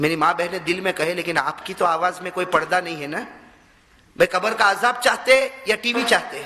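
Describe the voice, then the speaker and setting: A man speaks in a passionate tone at a high pitch, with ordinary pitch variation. Noticeable background noise runs behind him. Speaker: Islamic preacher. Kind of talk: Islamic sermon (bayan) to a live audience. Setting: mosque address with audience responding. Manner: passionate, rhetorical, asking the audience questions.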